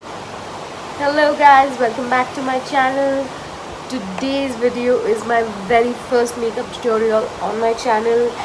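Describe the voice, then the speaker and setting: In a room with audible echo and noticeable background noise, a woman speaks at a fairly slow pace with a high pitch and fairly even intonation. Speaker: beauty vlogger. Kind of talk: vlog intro.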